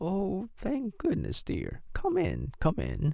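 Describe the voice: In a put-on character voice, a man speaks slowly with a high pitch, a dark, mellow tone, vocal fry and very wide pitch swings.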